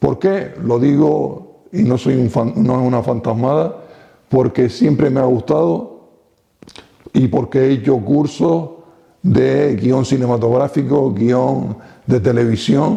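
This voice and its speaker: At a very slow pace, a man speaks in a medium-pitched, dark, mellow voice with vocal fry and very even loudness. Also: lively intonation. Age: 60s. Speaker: retired local TV pioneer. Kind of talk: interview.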